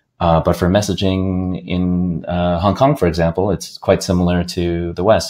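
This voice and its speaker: The speaker is a man with an American accent. His voice is very deep and low. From US, upstate New York. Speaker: games industry business development executive. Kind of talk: podcast interview. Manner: halting, many fillers and repeats.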